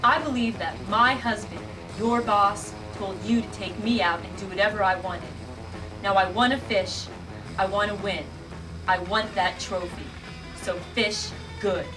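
Over clear music in the background, a woman speaks at a moderate pace with fairly even intonation and long, frequent pauses. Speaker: amateur actor playing a film character. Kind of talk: acted scene dialogue. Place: cafe. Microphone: old recording.

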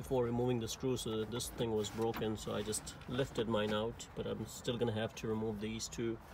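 Noticeable background noise surrounds a man who talks at a fairly quick pace. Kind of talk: tutorial. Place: car. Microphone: phone near.

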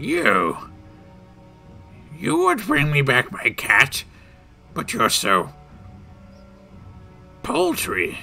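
A man's put-on character voice, fairly high in pitch, at a very slow pace with long, frequent pauses and faint music in the background. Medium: actual play. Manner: cranky, dismissive, eccentric.

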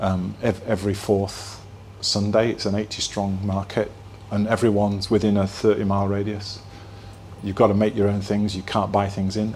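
With a Yorkshire accent, a man speaks at a moderate pace and fairly low pitch in a monotone, flat intonation, with noticeable background noise and audible room echo. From northern England, Halifax (Yorkshire). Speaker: place branding consultant, keynote speaker. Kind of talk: keynote talk. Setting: stage with live audience. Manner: casual, hesitant with repetitions.

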